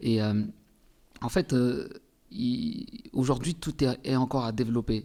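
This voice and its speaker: At a fairly slow pace with long, frequent pauses, the voice has a dark, mellow tone, very even loudness and ordinary pitch variation. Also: man. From Comoros, Anjouan island. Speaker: singer. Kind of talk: interview. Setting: studio.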